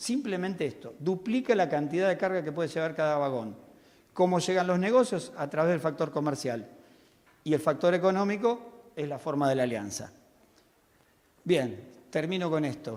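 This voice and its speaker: In a room with audible echo, a man speaks at a moderate pace with long, frequent pauses. His voice is fairly high, and his intonation is lively. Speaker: railway technical expert. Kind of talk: conference talk. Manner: animated.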